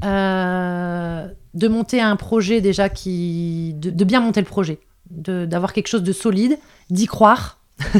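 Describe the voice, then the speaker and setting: On a very clean recording with a silent background, a woman speaks at a very slow pace, at a medium pitch with ordinary pitch variation. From northern France. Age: 30s. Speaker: foster carer and entrepreneur. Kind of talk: interview.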